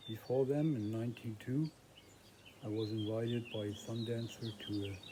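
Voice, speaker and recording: Over noticeable background noise, a man with a German accent speaks at a moderate pace. His pitch is medium and his intonation fairly even. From northern Germany. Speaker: vlogger. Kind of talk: personal vlog monologue. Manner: halting.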